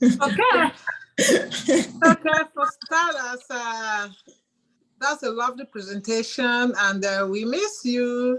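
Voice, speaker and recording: A woman with a high pitch speaks very slowly, her intonation lively. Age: 60s. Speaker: audience member. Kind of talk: casual chat. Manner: halting.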